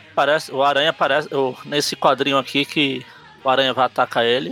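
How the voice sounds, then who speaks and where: A man rattles along very fast, his intonation fairly even, with noticeable noise behind him. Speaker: comic book podcast host. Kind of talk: casual chat.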